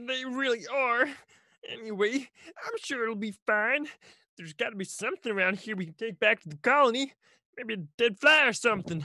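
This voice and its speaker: At a moderate pace, a female-sounding voice puts on a character voice at a fairly high pitch. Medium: stage play. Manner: eager, apologetic.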